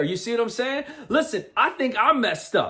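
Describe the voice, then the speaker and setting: Loud and animated in tone, a man speaks at a fairly quick pace with an extremely high pitch and lively intonation. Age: 40s. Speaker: motivational speaker. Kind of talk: motivational talk.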